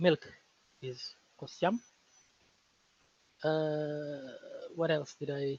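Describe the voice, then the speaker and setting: Somewhat breathy and fairly high for a man, his voice moves at a very slow pace with long, frequent pauses and fairly even intonation. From Senegal. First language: Fulani. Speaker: linguist. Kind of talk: casual interview conversation.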